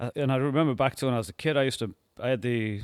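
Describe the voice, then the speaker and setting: With a northern English accent, the speaker shows ordinary pitch variation over a quiet background. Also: man. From northern England, Workington, Cumbria; northern England. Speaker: animatronic designer and inventor; podcast guest. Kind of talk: casual interview chat. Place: studio. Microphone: studio mic.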